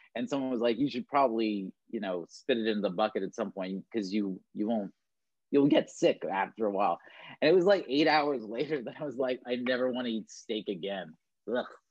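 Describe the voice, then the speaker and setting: A man with an unremarkable speaking voice talks fairly quickly, keeping to medium pitch with ordinary pitch variation. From Canada, Toronto. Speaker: talent agent. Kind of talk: casual chat.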